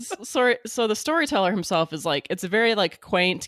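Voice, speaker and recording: A woman with a normal speaking voice and lively intonation talks at a moderate pace in a dry, close sound with no echo and a very clean recording with a silent background. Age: 30s. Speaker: podcast guest, comics reviewer. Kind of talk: casual chat.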